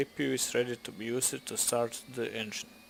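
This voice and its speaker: Speaking with a non-native accent, a man goes at a fairly quick pace. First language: not English. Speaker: flight simulator video creator. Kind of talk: tutorial. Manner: halting.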